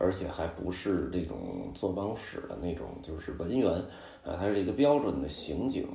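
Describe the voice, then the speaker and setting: Very wide pitch swings stand out in this voice with a Beijing accent. The room echo is audible and background noise is noticeable. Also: man. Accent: Beijing Mandarin, erhua. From Beijing, China. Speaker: podcast host, travel storyteller. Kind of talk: casual monologue. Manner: filler-heavy, conversational.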